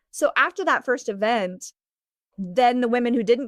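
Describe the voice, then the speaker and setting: Loud and fairly slow, a woman talks at a high pitch against a quiet background. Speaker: founder of a clothing swap business. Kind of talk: interview. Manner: conversational, with many fillers.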